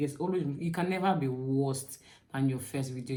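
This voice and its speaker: Amid audible room echo, a woman with a very deep, low pitch and a dark, mellow tone speaks at a fairly quick pace. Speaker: YouTuber giving channel tips. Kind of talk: tutorial. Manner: fast; animated.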